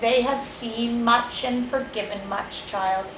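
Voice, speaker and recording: A put-on character voice that sounds female, fairly high in pitch, speaks at a fairly slow pace with slight echo and clear background noise. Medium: read story. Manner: soft, sly.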